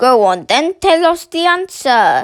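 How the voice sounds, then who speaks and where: A put-on character voice at an extremely high pitch, delivered at a fairly slow pace. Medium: read story. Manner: loud, goading.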